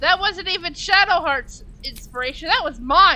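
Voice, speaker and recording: A woman speaks at a fairly slow pace with noticeable background noise. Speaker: video game streamer. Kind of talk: live gameplay commentary. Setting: live stream. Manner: soft-spoken.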